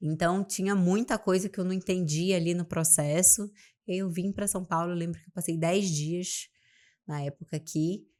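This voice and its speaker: On a very clean recording with a silent background, a woman speaks at a fairly low pitch and moderate pace, with fairly even intonation and big swings in loudness. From Amapá, northern Brazil. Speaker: business mentor. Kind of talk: podcast interview.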